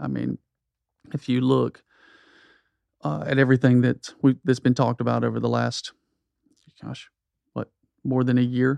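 With an American accent, a man talks at a moderate pace with long, frequent pauses, in a dry, close sound with no echo. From US South (South Georgia). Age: 40s. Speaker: pastor. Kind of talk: casual chat.

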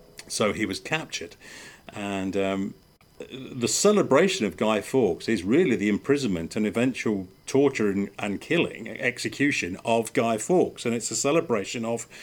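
A man with an English accent talks at a moderate pace with lively intonation. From England. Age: 50s. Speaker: podcast host and former motorsport mechanic. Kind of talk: casual chat. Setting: outdoors.

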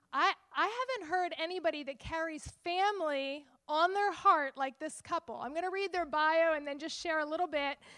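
Extremely high pitch from a woman in a raised, projected voice, bright and sharp in tone, with ordinary pitch variation at a moderate pace. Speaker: event host and prayer leader. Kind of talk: introduction and prayer.

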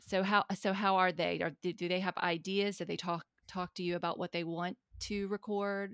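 A woman with a Southern US accent in a monotone, flat intonation, dry and close with no echo, in a very clean recording with a silent background. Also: moderate pace. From US South. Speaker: podcast host, unschooling advocate. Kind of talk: interview conversation.

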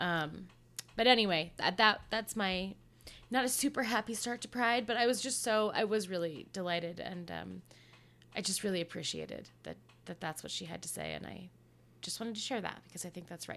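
In an American accent, the speaker has a bright, sharp tone with vocal fry, talking at a fairly quick pace with ordinary pitch variation and big swings in loudness. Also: woman, medium pitch for a woman. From Colorado. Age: 30s. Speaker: podcast co-host. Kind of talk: casual chat.

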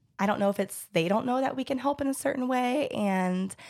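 A woman with an American accent talks at a very fast pace with lively intonation, in a very clean recording with a silent background. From Georgia, US South. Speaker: pelvic floor physical therapist. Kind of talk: casual chat.

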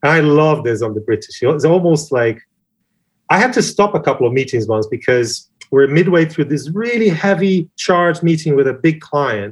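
A man speaks with a Portuguese accent and a fairly high pitch. His intonation is lively. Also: moderate pace. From Brazil. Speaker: advertising creative director. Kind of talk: interview.

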